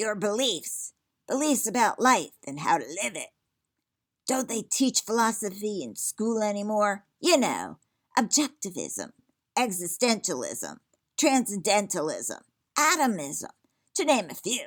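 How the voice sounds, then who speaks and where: In a put-on character voice that sounds female, fairly high in pitch for a woman, the speaker moves at a fairly slow pace with long, frequent pauses, on a very clean recording with a silent background. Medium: read story. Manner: gruff, lecturing, cranky.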